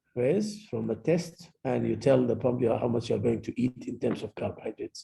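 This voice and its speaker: A man speaks with an Arabic accent. The sound is dry and close, with no echo. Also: fairly quick pace. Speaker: medical lecturer, pediatric endocrinologist. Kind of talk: lecture. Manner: code-switching Arabic and English.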